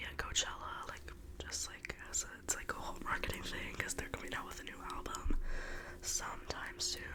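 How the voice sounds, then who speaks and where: Moderate-paced whispering from a woman, noticeable background noise behind her. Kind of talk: ASMR whisper gossip ramble. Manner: whispered.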